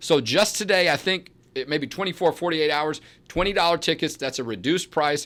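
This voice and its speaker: A man talks at a very fast pace. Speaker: advocacy group president and show host. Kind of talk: talk show monologue. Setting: studio. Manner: loud.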